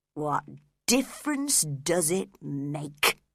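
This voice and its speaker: This is a put-on character voice with a growling quality at a middle pitch. The recording is very clean, with a silent background. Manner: growling, bitter.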